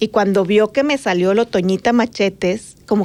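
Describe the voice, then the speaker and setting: A woman's unremarkable speaking voice, medium in pitch with ordinary variation. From Mexico, Sonora border (Magdalena). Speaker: journalist and podcast co-host. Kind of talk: casual chat.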